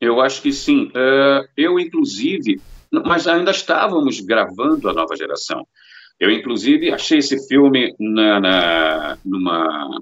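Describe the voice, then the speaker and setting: A man speaks with a Rio de Janeiro accent. His pace is fairly slow. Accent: Carioca Brazilian Portuguese. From Rio de Janeiro, Brazil. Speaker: voice actor and dubbing director. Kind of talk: interview answer.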